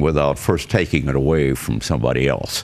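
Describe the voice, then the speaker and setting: Speaking with an American accent, a man talks at a moderate pace with vocal fry and a very deep, low pitch. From US Midwest, southwestern Wisconsin. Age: 90s. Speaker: war veteran. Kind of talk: interview. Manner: halting.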